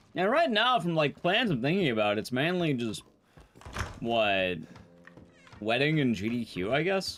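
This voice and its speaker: A man's fairly high voice with very wide pitch swings, very even loudness and long, frequent pauses, over noticeable background noise. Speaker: speedrunner streamer. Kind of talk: casual live-stream chat.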